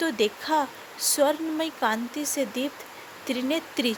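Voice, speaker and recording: A woman with a non-native accent talks with ordinary pitch variation over noticeable background noise. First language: not Hindi (speaking Hindi). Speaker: devotional storyteller. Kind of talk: devotional storytelling.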